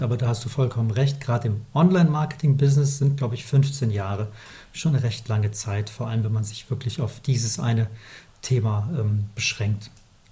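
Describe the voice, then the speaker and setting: At a fairly quick pace, a man speaks in a somewhat breathy, dark, mellow tone at a medium pitch with ordinary variation. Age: 40s. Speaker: company founder, email marketing podcast co-host. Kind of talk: casual business chat.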